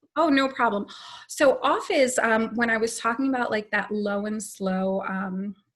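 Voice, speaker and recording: A woman's fairly high voice, an ordinary speaking voice at a moderate pace with ordinary pitch variation, over a quiet background. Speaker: patient advocate / foundation staff. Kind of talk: informational talk on video call.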